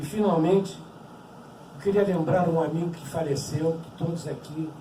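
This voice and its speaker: The speaker talks at a moderate pace with fairly even intonation. Audible room echo and noticeable background noise are present. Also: man, high pitch for a man. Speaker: Holocaust survivor speaker. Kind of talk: testimony talk.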